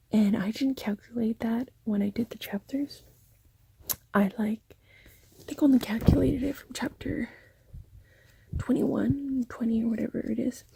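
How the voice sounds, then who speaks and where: Speech moves at a moderate pace, broken by long, frequent pauses. Noticeable background noise sits underneath. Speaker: booktuber. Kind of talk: casual vlog. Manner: soft-spoken.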